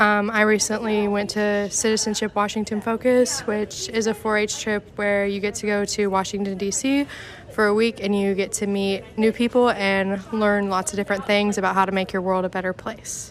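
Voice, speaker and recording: With hardly any pauses, a woman speaks in a Midwestern US accent at a medium pitch in a monotone, flat intonation, against noticeable background noise. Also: moderate pace. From Indiana, Daviess County. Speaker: 4-H member. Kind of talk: self-introduction.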